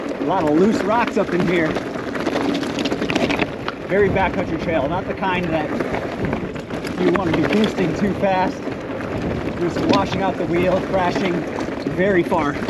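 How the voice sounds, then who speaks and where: A man talks at a fairly slow pace with ordinary pitch variation and long, frequent pauses, his voice dry with no echo over loud background noise. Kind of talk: casual ride commentary. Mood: relaxed, pleased. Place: bicycle. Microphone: camera far.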